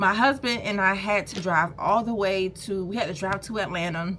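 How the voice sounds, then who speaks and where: Noticeable background noise sits behind an animated speaker with an American accent, moderate pace and ordinary pitch variation. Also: woman. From US South, Savannah, Georgia. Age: 30s. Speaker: small business owner and vlogger. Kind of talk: casual vlog storytime.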